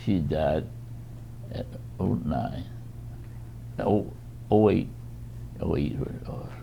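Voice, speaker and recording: Very slow and full of long, frequent pauses, a man with an American accent speaks in a very deep, low voice that makes very wide pitch swings. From United States. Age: 80s+. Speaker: retired educator. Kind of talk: interview answer. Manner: halting, slow.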